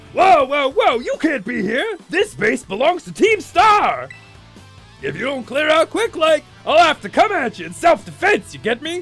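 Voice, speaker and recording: A man's put-on character voice at an extremely high pitch, moderate pace, with faint music in the background. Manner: threatening, tough.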